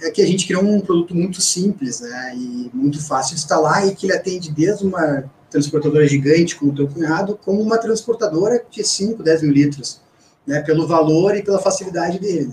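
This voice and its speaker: Hardly pausing, the talking runs at a fairly quick pace with ordinary pitch variation. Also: man, high pitch for a man. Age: 40s. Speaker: company CEO. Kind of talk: interview. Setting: radio studio.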